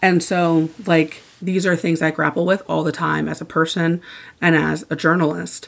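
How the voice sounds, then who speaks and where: This speaker moves at a medium speed. Vocal fry runs through the voice. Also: woman. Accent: Midwestern US. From Indiana. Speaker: sports journalist and author. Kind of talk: interview.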